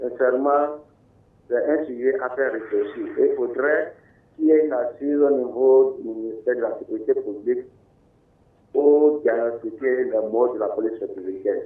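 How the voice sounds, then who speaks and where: A man talks at a moderate pace, breaking his speech with long, frequent pauses. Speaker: panelist. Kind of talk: studio panel discussion. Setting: studio.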